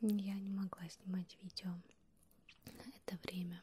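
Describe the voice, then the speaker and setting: A woman's somewhat breathy voice, dark and mellow in tone, at a very slow pace. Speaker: ASMR creator. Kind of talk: ASMR close whispering video. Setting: close to the microphone, binaural. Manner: whispered, soft-spoken. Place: home room. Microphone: handheld.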